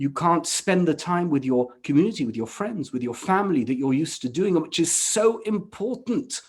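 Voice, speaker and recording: A man with a British accent speaks at a moderate pace with hardly any pauses. His pitch is high and swings very widely. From England. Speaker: rabbi. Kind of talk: panel discussion.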